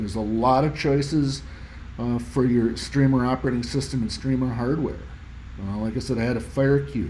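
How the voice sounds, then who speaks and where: At a fairly quick pace, a man speaks at medium pitch with ordinary pitch variation and audible room echo. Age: 60s. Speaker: audio hobbyist YouTuber. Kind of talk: tutorial presentation. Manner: casual, halting with fillers.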